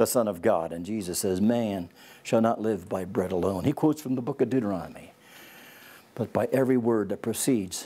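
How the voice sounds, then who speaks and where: A man speaks at a fairly quick pace with a fairly low pitch. His tone is dark and mellow, with ordinary pitch variation. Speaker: Bible teacher. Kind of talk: lecture. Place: studio. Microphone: lapel.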